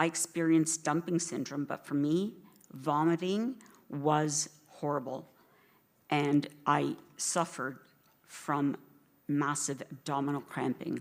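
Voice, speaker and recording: A woman with a Canadian accent speaks at a fairly slow pace, her pitch very deep and low and her intonation fairly even. She leaves long, frequent pauses, and the recording is very clean with a silent background. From Canada, Toronto. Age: 50s. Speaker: patient advocate. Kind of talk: conference talk.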